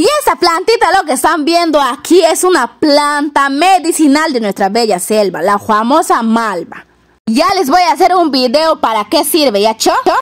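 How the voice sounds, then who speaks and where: Over a quiet background, a woman with a high pitch speaks at a fairly slow pace, her pitch swinging very widely while her loudness stays very even. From Peruvian Amazon, Yurimaguas, Loreto; Loreto, Peru. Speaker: video blogger. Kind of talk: casual vlog narration. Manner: animated. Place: garden. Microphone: phone near.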